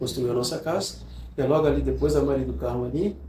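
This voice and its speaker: This is a man speaking. Room echo can be heard. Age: 70s. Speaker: teacher, interview guest. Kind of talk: casual interview, reminiscing. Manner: halting, repeats words.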